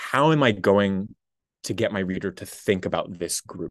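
A man with an American accent talks at a moderate pace, the background quiet. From Massachusetts. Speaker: PhD student. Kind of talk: casual interview conversation.

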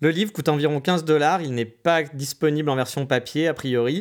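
A man speaks fairly quickly in a plain, everyday voice with ordinary pitch variation. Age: 30s. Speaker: podcaster, digital nomad. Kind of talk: solo podcast monologue. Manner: casual.

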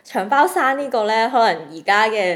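A woman with an unremarkable speaking voice, at a moderate pace and with ordinary pitch variation. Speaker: podcast co-host. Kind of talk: casual chat.

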